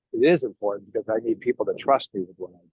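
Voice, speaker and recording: The sound is dry and close, with no echo. A man talks in an American accent. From New York. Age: 60s. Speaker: network marketing distributor. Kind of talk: interview.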